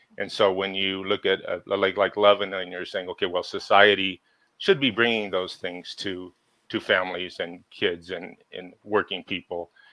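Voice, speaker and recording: In an American accent, a man speaks at a fairly low pitch and a moderate pace, his intonation flat and monotone. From Southern California (Ventura County). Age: 60s. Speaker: local water activist, Navy veteran and electrician. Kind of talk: podcast interview. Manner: halting, many fillers and repeats.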